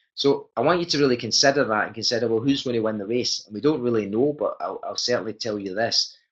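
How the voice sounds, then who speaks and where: A man talks fairly quickly, his pitch rising and falling in an ordinary way. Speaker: network marketing presenter. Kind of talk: sales pitch. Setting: webinar. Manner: fast.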